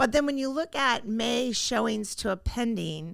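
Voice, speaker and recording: A bright, sharp tone with vocal fry, ordinary pitch variation and a moderate pace, on a very clean recording with a silent background. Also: woman. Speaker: real estate agent. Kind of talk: market update chat. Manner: casual, filler-heavy; stumbling at times.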